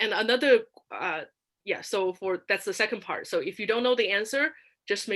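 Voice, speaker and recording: In a non-native accent, a woman talks at a moderate pace with a bright, sharp tone on a very clean recording with a silent background. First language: not English. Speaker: public speaking contest finalist. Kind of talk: workshop talk. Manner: halting, many fillers and restarts.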